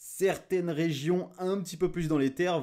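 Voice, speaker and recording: The recording is very clean, with a silent background. The speaker is a man. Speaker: weather forecaster youtuber. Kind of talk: weather briefing monologue. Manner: loud.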